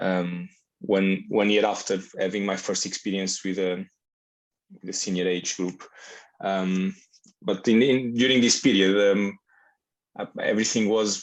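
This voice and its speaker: A man's fairly low, monotone, flat delivery at a fairly slow pace, broken by long, frequent pauses. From Portugal. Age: 30s. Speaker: futsal coach. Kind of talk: interview. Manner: halting, many fillers.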